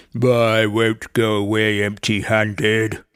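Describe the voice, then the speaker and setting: At a fairly slow pace, a man uses a put-on character voice of medium pitch with monotone, flat intonation. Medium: read story. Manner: eager, stammering.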